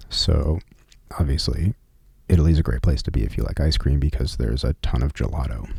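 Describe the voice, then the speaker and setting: A soft-spoken man's very deep, low voice in a relaxed tone, at a fairly quick pace with ordinary pitch variation. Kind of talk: ASMR personal travel story. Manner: soft-spoken, relaxed.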